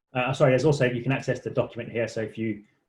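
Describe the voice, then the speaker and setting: With a British accent, a man speaks in a somewhat breathy voice with ordinary pitch variation. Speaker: charity policy director presenting a website. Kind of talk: online tutorial walkthrough. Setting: online session. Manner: halting, many repetitions and fillers; fast.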